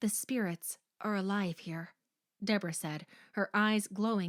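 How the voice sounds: Quiet background behind a natural reading voice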